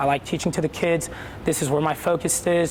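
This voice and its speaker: Against noticeable background noise, a man with a high voice talks at a fairly quick pace. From Puerto Rico. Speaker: elementary school PE teacher. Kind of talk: interview. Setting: school gymnasium. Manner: energetic.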